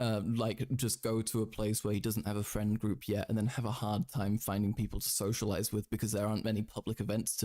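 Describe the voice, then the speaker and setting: A man with a British accent and a dark, mellow tone speaks at a very fast pace on a very clean recording with a silent background. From Britain. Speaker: streamer. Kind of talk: live stream commentary. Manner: halting; animated.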